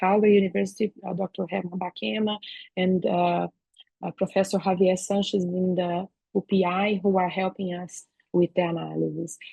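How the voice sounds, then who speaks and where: This woman has a Brazilian accent and a somewhat breathy voice at a medium pitch. She talks at a moderate pace. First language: Portuguese. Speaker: veterinary professor and researcher. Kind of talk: academic seminar talk. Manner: halting, many fillers.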